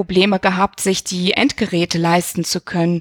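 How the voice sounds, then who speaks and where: A woman at a medium pitch with a slight non-native accent, moderate in pace and flat, monotone in intonation, in a dry, close sound with no echo. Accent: slight foreign accent, improved over time. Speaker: university equal opportunities officer. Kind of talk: interview.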